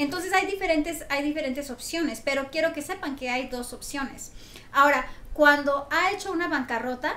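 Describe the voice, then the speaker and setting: Raising and projecting her voice, a woman with a high pitch and ordinary pitch variation speaks over noticeable background noise. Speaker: mortgage lender. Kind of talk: educational talk show segment. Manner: fast.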